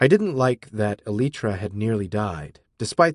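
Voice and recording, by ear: Lively intonation over a quiet background while reading aloud in a natural voice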